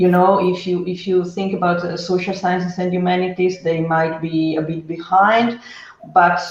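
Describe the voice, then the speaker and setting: Someone with an Italian accent speaks at a moderate pace over noticeable background noise. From Italy. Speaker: data trainer. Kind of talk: panel discussion. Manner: halting.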